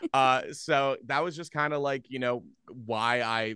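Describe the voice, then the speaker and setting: Recorded dry and close with no echo over a quiet background, a man speaks with a bright, sharp tone and ordinary pitch variation. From US Northeast, Philadelphia area. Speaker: radio host. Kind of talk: casual chat. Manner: loud.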